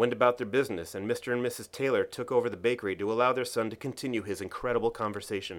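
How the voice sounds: With ordinary pitch variation, the voice reads in a natural way.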